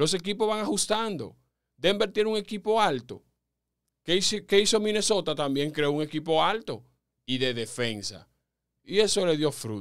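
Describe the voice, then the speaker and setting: A man speaks in a high voice at a moderate pace, with very wide pitch swings. Long pauses come often, and the background stays quiet. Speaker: sports commentator and podcast host. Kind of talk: sports commentary podcast talking to listeners. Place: studio. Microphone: studio mic.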